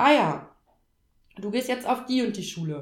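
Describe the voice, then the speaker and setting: Lively intonation marks this woman's speech. Her voice is high-pitched. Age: 30s. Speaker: trained teacher on parental leave. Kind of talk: casual chat.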